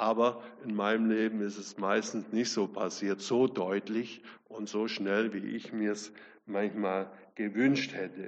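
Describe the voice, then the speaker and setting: In a flat monotone, a man speaks very slowly at a fairly low pitch. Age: 70s. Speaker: guest preacher. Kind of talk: sermon.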